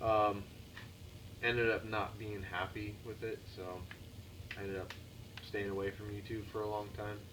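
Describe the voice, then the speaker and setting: In a room with audible echo, a man speaks at a fairly low pitch in a flat monotone. His pace is moderate, broken by long, frequent pauses. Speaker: motorcycle hobbyist vlogger; navy military police. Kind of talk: casual vlog monologue. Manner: stuttering, halting.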